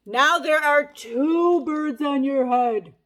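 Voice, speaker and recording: A woman in a put-on character voice, high-pitched, at a very slow pace. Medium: read story. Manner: bright, matter-of-fact.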